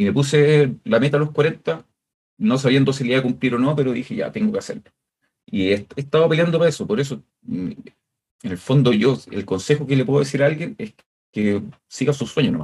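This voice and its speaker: A man with a Chilean accent, fairly high pitch, very wide pitch swings, vocal fry and a fairly quick pace. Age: 40s. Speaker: music producer. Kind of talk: interview.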